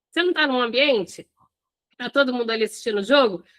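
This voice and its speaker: A woman uses a raised, projected voice, high in pitch, with a bright, sharp tone and lively intonation. The recording is dry and close with no echo. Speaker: hospitality business coach. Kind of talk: live online class. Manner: animated.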